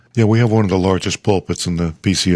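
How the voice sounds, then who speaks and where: A man's very deep, low voice. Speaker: ruling elder and podcast host. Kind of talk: casual chat.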